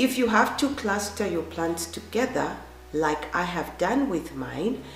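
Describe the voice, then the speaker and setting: A woman's fairly low-pitched voice with very wide pitch swings, audible room echo, and noticeable background noise. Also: fairly slow pace. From Zambia. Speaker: gardening vlogger. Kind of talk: tutorial.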